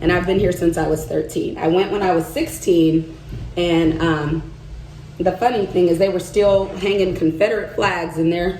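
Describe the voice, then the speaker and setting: With noticeable background noise and audible room echo, a woman with a slight Southern US accent speaks at a moderate pace in a fairly low, animated voice of very even loudness. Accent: slight Southern twang. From US South, Arkansas. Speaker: vlogger and market vendor. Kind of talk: casual vlog chat while doing makeup.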